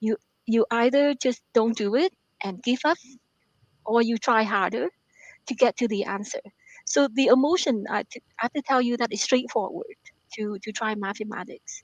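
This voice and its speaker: With a Vietnamese accent, a woman speaks at a moderate pace and fairly high pitch with ordinary pitch variation and long, frequent pauses, the sound dry and close with no echo. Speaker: author and math professor. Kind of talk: radio interview. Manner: halting, many fillers and repetitions.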